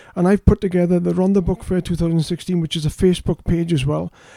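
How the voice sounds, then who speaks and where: A man with a Welsh accent speaks at a fairly quick pace in a high voice with a dark, mellow tone, recorded dry and close with no echo. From South Wales. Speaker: fantasy author. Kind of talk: casual interview chat. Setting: studio.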